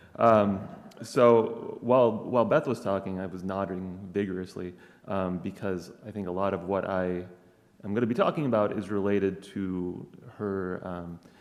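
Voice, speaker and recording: In an American accent, a man with a fairly low pitch talks at a moderate pace and fairly even intonation, with audible room echo. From Wisconsin. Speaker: professor. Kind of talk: conference talk. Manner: hesitant, many fillers.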